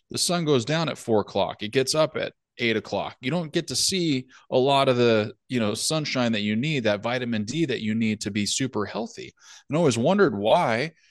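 At a fairly quick pace, a man with an ordinary speaking voice talks at a medium pitch with lively intonation, in a dry, close sound with no echo and a quiet background. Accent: American. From California. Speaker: podcast co-host. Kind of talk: casual chat.

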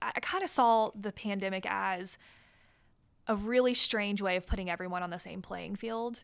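A woman with an American accent has an ordinary speaking voice at a medium pitch. She talks at a moderate pace with fairly even intonation. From US South, Chattanooga, Tennessee. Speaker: school board member and real estate CEO. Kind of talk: interview.

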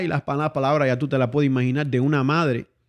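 A man talking at a fairly quick pace over a quiet background. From Cuba. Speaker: guest. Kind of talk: casual interview.

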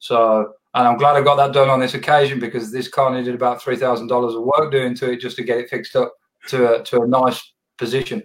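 At a very fast pace, a man delivers his words in a monotone, flat way. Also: medium pitch for a man. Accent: Australian. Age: 30s. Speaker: podcast host. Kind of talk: casual interview. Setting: video call.

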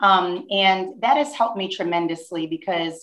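In a plain, everyday voice, a woman with an American accent speaks at medium pitch and a moderate pace. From New Jersey, near Newark. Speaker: school principal. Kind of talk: interview.

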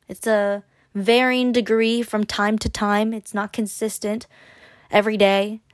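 Against a silent background in a very clean recording, an unremarkable speaking voice moves at a moderate pace. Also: woman. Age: 20s. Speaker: solo podcast host. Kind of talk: casual solo podcast monologue; encouraging pep talk urging listeners to try dating apps. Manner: chatty with frequent laughs and fillers; upbeat, coaxing and direct, addressing listener as a friend.

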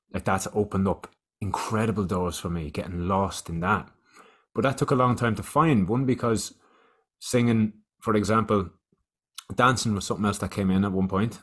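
On a very clean recording with a silent background, a man with an Irish accent speaks at a fairly low pitch and moderate pace, with ordinary pitch variation and long, frequent pauses. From Ireland. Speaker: youth wellbeing educator. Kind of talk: casual chat.

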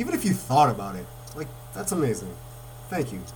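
A very fast-talking man with an American accent is heard against noticeable background noise. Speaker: podcast host and local reporter. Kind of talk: casual interview. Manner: excited, animated.

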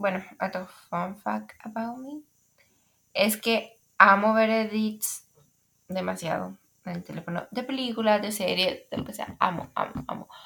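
Bright and sharp in tone, a woman's fairly high voice moves at a fairly slow pace. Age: young. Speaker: podcaster. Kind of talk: casual monologue. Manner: hesitant, many fillers.

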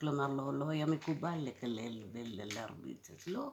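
A woman with a very deep, low pitch and a dark, mellow tone talks at a fairly slow pace, her intonation lively. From India (Cochin), raised in Israel from age 7. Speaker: interviewee sharing childhood memories. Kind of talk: personal testimony.

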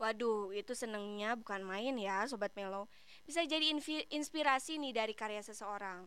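With a bright, sharp tone, a woman speaks at a moderate pace, her pitch varying in an ordinary way, with hardly any pauses. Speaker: radio host. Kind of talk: casual radio presenting. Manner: animated.

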